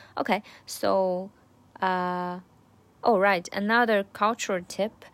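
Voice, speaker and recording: Spoken at a very slow pace with a Chinese accent, the recording is very clean with a silent background. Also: woman. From China. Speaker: language learner vlogger. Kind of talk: study diary. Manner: halting.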